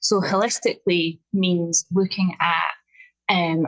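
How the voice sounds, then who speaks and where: A woman's fairly low voice in a strong Scottish accent, with fairly even intonation. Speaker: nutritional therapist and health coach. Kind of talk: podcast interview. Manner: slow and clear, deliberate.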